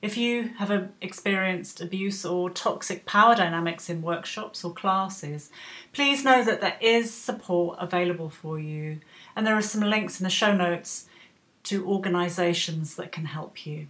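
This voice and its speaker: In a normal speaking voice, a woman talks at a moderate pace with a medium pitch and ordinary pitch variation. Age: 50s. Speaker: podcast host. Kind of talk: scripted narration.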